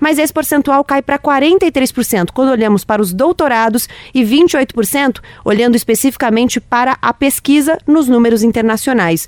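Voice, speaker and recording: Recorded dry and close with no echo, a woman speaks at a high pitch with lively intonation. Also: moderate pace, very even loudness. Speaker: radio host and podcast producer. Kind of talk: moderated panel discussion.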